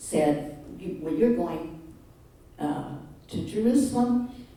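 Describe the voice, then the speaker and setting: Speaking very slowly with lively intonation, a woman is heard over noticeable background noise and audible room echo. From Canada, Manitoba. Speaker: retiree giving talk. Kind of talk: personal presentation to audience. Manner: halting, many fillers.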